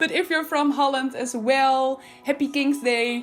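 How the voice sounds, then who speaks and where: A woman speaks with a Dutch accent while music plays in the background. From Netherlands. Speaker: video game builder YouTuber. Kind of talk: voiceover commentary.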